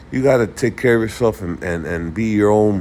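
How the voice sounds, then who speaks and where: Noticeable background noise sits under a man talking at a moderate pace, his fairly low voice making very wide pitch swings. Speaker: investing video creator. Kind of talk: casual market commentary. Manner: halting, many repetitions and fillers.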